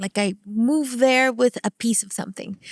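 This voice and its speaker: On a very clean recording with a silent background, a woman with a Spanish accent speaks at a moderate pace in an animated tone with ordinary pitch variation, the sound dry and close with no echo. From Venezuela. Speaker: entertainment company CEO and actress. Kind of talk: podcast interview.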